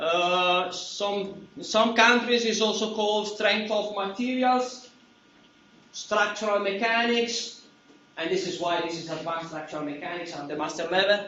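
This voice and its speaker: A loud man with an Italian accent speaks fairly slowly at a high pitch, with audible room echo and noticeable background noise. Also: ordinary pitch variation. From Italy. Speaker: university professor. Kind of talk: lecture. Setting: classroom.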